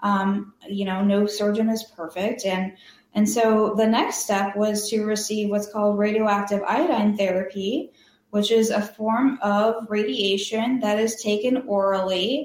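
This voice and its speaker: The loudness stays very even throughout. It is a normal speaking voice. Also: woman, medium pitch for a woman. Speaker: cancer survivor and patient advocate. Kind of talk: interview.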